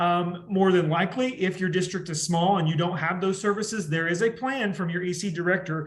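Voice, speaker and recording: A man's high-pitched voice with audible room echo. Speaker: education instructor. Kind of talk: lecture. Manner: fast.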